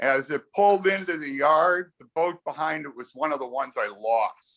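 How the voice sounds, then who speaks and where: A man with an unremarkable speaking voice and an American accent talks at a moderate pace, his fairly high pitch showing ordinary variation and his loudness swinging widely. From US Midwest, Chicago. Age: 60s. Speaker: sailor. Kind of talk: casual chat. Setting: video call.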